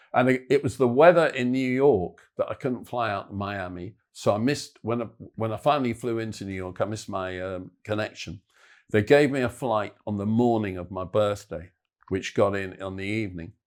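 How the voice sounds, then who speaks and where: Someone with an English accent speaks at a moderate pace, with ordinary pitch variation and big swings in loudness. The recording is very clean, with a silent background. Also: man, fairly low pitch for a man. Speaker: football podcast co-host. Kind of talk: casual chat.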